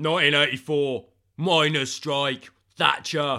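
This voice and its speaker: A man in a put-on character voice, pitched fairly high. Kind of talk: gruff.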